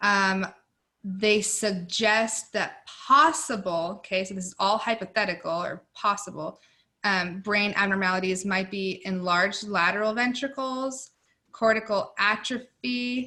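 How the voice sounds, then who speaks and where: A woman speaks at a medium pitch with a bright, sharp tone, ordinary pitch variation, and big swings in loudness. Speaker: nursing student tutor. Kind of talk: tutoring session. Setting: video call. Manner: mumbling.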